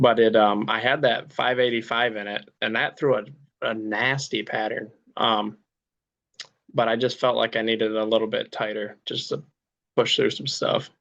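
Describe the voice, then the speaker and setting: An ordinary speaking voice from a man with an American accent, medium in pitch, at a moderate pace with fairly even intonation. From Michigan, US. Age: 20s. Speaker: turkey hunter. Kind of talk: casual interview.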